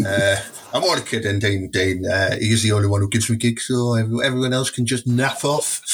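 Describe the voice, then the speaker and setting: Music plays in the background as a man with a Teesside accent talks at a fairly quick pace, his medium-pitched voice at a very even loudness. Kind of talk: casual chat. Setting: studio. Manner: animated.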